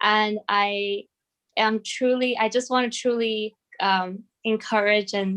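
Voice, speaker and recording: A woman's fairly high voice with a non-native accent, very slow and monotone, with flat intonation. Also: very even loudness. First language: not English. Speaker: case competition participant. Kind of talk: closing ceremony remarks. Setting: video call. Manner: halting.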